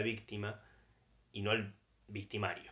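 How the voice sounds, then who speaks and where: The speaker is a man with a Rioplatense accent. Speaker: podcast co-host. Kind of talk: casual chat.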